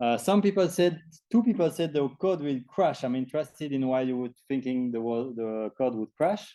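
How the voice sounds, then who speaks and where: Dark and mellow in tone, a man at a medium pitch speaks at a moderate pace with lively intonation. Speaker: programming instructor. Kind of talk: lecture.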